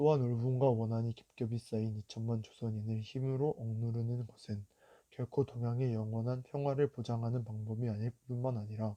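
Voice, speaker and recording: A man speaks at a moderate pace and a medium pitch, his dark, mellow tone flat and monotone, with a dry, close sound, no echo and a quiet background. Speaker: youth reader reciting a historical declaration. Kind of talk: solemn historical declaration reading.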